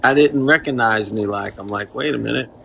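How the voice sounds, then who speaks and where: A man with a Kentucky accent at a fairly quick pace, medium in pitch with ordinary pitch variation, over noticeable background noise. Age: 50s. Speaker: mechanic and free pizza charity organizer. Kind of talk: casual chat.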